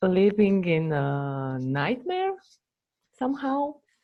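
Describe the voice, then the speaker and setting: A medium-pitched woman's voice with a non-native accent, a very slow pace and very wide pitch swings. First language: not English. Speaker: former coaching student. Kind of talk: testimony. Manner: halting.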